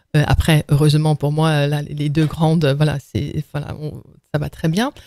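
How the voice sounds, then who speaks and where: The voice is dark and mellow, delivered in a flat monotone at a fairly slow pace. The sound is dry and close, with no echo. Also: woman, very deep, low pitch for a woman. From Netherlands. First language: Dutch (speaking French). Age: 50s. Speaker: entrepreneur. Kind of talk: podcast interview. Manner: hesitant, many fillers and repetitions.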